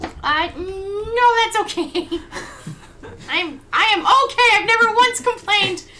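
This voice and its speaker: A woman's put-on character voice, extremely high and very slow. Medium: actual play.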